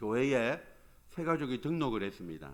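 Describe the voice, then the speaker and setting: A man speaks in a Gyeongsang accent. His intonation is lively. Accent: Gyeongsang dialect Korean. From Gyeongsang region, South Korea. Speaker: pastor. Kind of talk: sermon. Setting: church.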